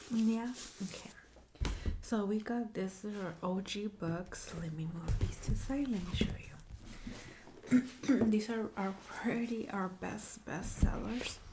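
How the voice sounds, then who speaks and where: A soft-spoken woman talks very slowly with ordinary pitch variation and long, frequent pauses, against noticeable background noise. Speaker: bookstore clerk (roleplay). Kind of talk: ASMR roleplay.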